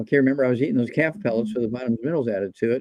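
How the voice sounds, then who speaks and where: A man's voice has a dark, mellow tone. His intonation is lively. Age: 80s+. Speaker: guest doctor promoting nutritional supplements. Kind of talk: interview on a live show. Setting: live online show.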